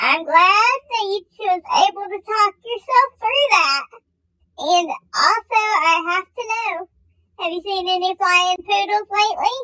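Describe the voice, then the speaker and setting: Squeaky and extremely high-pitched, the put-on character voice stands out. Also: fairly slow pace. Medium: comedy sketch. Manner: emotional, dramatic.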